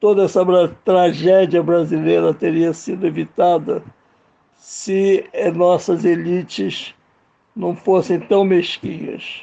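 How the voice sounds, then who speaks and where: A man talks at a very slow pace. His loudness stays very even throughout. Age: 70s. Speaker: filmmaker. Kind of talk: radio interview.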